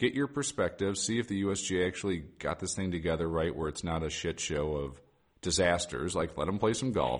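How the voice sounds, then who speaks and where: A man speaks with a very deep, low pitch at a fairly quick pace. The recording is very clean with a silent background. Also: lively intonation. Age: 40s. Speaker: golf podcast host. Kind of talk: casual chat. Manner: animated.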